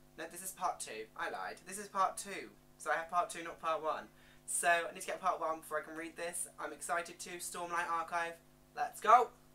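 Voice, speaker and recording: Over music in the background, a woman speaks fairly quickly at a fairly low pitch, with fairly even intonation and big swings in loudness. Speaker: book youtuber. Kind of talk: book haul video.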